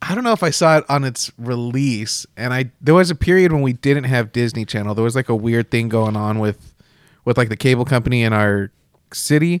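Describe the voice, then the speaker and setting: An American-accented man speaks at a fairly quick pace in a plain, everyday voice, with a medium pitch and ordinary pitch variation. The recording is very clean with a silent background and a dry, close sound with no echo. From Texas. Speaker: podcast editor and co-host. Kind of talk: casual chat.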